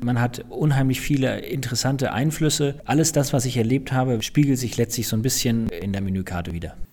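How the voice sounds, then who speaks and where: Against noticeable background noise, a man talks at a fairly quick pace with hardly any pauses, medium pitch and ordinary pitch variation. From northern Germany, Flensburg. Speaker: chef and hotelier. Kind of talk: interview.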